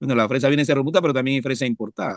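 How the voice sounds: A man speaks at a very fast pace in a medium pitch, with ordinary pitch variation and a dry, close sound with no echo.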